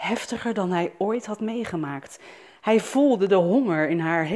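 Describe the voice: Someone reads a passage aloud in a plain way.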